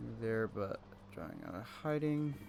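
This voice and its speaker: Quiet and at a fairly slow pace, a man speaks with music in the background. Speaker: gaming video creator. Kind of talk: let's play commentary. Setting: at home at night, family asleep. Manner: quiet, keeping voice down.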